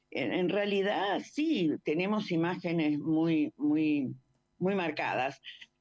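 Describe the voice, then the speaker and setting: At a very slow pace, a woman with a fairly low voice keeps her loudness very even, using ordinary pitch variation. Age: 70s. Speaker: war veteran and former nurse. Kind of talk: radio interview. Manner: halting, repeats words.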